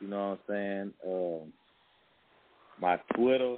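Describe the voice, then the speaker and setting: At a very slow pace, a man with an American accent speaks in a fairly low pitch with fairly even intonation. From Texas, Dickinson (Galveston County, near Houston). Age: young. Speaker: rapper. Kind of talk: casual interview. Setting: recording studio.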